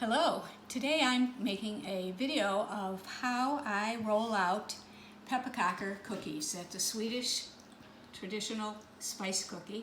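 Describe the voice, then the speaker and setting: Over noticeable background noise and audible room echo, a woman speaks at a fairly slow pace and a fairly high pitch with ordinary pitch variation. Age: 70s. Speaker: home baker. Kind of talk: tutorial. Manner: casual, with hesitations.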